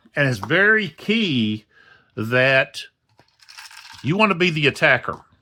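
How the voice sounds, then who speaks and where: At a fairly slow pace, a man speaks loudly with a fairly high pitch, very wide pitch swings, a bright, sharp tone, and long, frequent pauses. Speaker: board wargame youtuber. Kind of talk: game playthrough tutorial. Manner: halting, many fillers.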